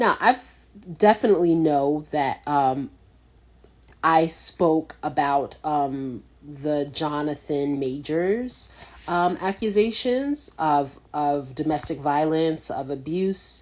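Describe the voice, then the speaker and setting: Speaking at a very slow pace, a woman with a very deep, low pitch uses lively intonation. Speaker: talk show host. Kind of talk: casual talk show monologue. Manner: halting, stumbling over words.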